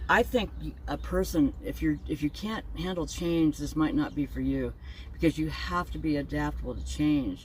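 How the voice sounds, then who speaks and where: Moderately paced speech from a woman, backed by music. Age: 70s. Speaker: van dweller and video blogger. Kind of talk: interview, casual chat. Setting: inside a van.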